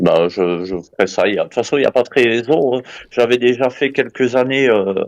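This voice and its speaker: A man delivers his words at medium pitch, his pitch varying in an ordinary way as he keeps a moderate pace. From Belgium. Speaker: caller. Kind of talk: casual discussion. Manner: hesitant.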